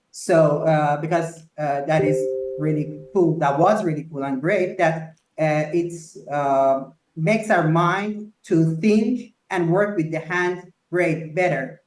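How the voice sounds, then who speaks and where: A man with a Persian accent speaks at a very slow pace in a fairly high pitch. Audible room echo surrounds his voice. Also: ordinary pitch variation. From Iran, Tehran. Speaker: architect and company founder. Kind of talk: interview. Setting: live video podcast. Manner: halting with many fillers.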